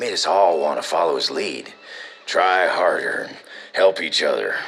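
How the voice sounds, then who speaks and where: A man does a put-on character voice at an extremely high pitch. It sounds raspy, delivered at a moderate pace. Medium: audio drama. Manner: casual, laughing, folksy.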